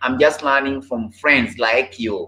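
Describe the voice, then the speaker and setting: A man at a moderate pace with fairly even intonation. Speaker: live streamer. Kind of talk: casual live stream chat with viewers. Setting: live stream online. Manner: repeats phrases, halting. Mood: relaxed, friendly, laughing. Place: home room. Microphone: webcam.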